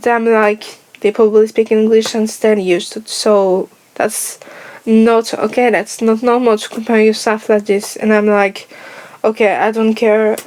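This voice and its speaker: Noticeable background noise surrounds a woman speaking at a fairly high pitch. Her delivery is a flat monotone at a fairly slow pace. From France. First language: French. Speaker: YouTuber. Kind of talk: personal vlog monologue.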